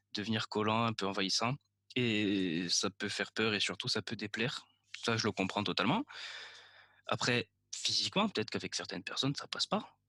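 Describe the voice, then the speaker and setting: Over a very clean recording with a silent background, a man with a bright, sharp tone speaks at a fairly quick pace at a medium pitch with ordinary pitch variation, long, frequent pauses and a dry, close sound with no echo. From Corsica. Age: 20s. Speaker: film student telling his story. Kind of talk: personal storytelling monologue. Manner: casual, joking.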